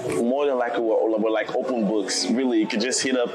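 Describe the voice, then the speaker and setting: Noticeable background noise with audible room echo. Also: man. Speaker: podcast host. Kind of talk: casual chat. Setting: in a lounge, recorded in person.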